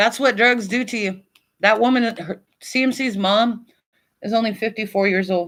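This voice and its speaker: A woman's fairly high voice at a moderate pace with fairly even intonation, on a very clean recording with a silent background. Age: 50s. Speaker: online commentator livestreamer. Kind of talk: casual livestream chat. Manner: halting, many fillers.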